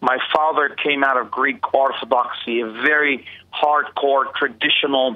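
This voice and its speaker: A man with an American accent, fairly high in pitch, fairly even in intonation, at a moderate pace. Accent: New Jersey-like American. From Israel, Bethlehem. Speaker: pastor. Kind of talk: interview. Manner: halting, many fillers.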